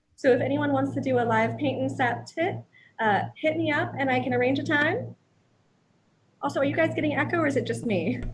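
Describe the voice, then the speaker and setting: A woman speaks at a fairly quick pace. Audible room echo can be heard around her voice. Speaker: artist and art teacher. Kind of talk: live painting stream chat. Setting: home live stream. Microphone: echo from hearing own stream.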